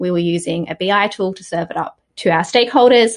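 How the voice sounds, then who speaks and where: With an Australian accent, a woman speaks at medium pitch and a moderate pace. Her pitch variation is ordinary, and the background is quiet. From Australia, Sydney. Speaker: software community manager. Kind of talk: podcast interview.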